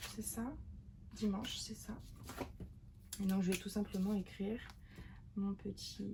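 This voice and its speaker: Whispering, a woman talks at a very slow pace. Her speech has long, frequent pauses. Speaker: journaling video creator. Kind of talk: craft tutorial. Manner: casual, hesitant.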